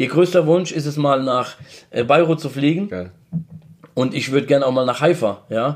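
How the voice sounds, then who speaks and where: A man speaks with a Mannheim accent at a fairly high pitch. His moderate pace is broken by long, frequent pauses, with ordinary pitch variation. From Mannheim, Germany (Lebanese family, came 1986). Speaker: social media manager. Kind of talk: casual chat.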